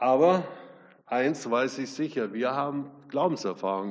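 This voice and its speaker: In a room with audible echo, a man with a fairly high pitch speaks at a fairly slow pace using lively intonation. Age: 70s. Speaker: guest preacher. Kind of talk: sermon.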